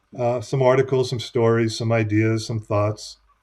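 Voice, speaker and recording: With an American accent, a man with a plain, everyday voice speaks at a medium pitch with fairly even intonation against a quiet background. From United States. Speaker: business consultant and author. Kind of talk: interview.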